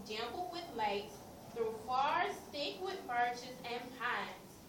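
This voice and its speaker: A high-pitched, raised and projected woman's voice with very wide pitch swings, over noticeable background noise. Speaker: classroom teacher. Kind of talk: reading a picture book aloud to a class.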